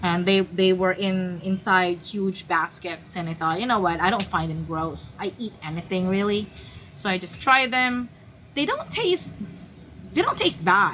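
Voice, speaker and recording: Noticeable background noise accompanies a woman at a medium pitch. She talks at a fairly slow pace with ordinary pitch variation. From Philippines. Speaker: travel vlogger. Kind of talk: casual storytelling monologue. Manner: hesitant, many fillers and restarts.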